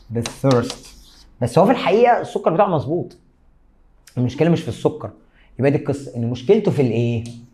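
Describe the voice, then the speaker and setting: A man speaks at a fairly quick pace in a fairly high, somewhat breathy voice with a dark, mellow tone, very wide pitch swings and long, frequent pauses. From Egypt. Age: 30s. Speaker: biology teacher. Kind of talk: lecture. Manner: animated. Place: studio.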